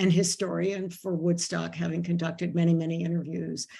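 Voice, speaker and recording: This woman's voice has a dark, mellow tone and is somewhat breathy. Her pitch sits fairly low. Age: 70s. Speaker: moderator and festival historian. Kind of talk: panel discussion moderation. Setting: video call. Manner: informal.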